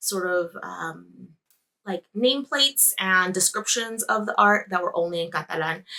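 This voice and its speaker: A bright, sharp tone at a fairly slow pace. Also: woman. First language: Spanish. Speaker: knitting podcaster. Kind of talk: casual vlog monologue. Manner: conversational with fillers.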